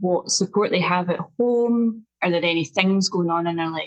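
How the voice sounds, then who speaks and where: A woman with a strong Scottish accent talks at a medium pitch with ordinary pitch variation. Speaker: nutritional therapist and health coach. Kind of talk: podcast interview. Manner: slow and clear, deliberate.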